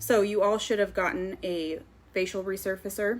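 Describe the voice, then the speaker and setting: A woman with a plain, everyday voice speaks at a moderate pace and medium pitch, keeping her intonation fairly even. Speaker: skincare sales consultant. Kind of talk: live stream sales presentation. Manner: casual with many fillers.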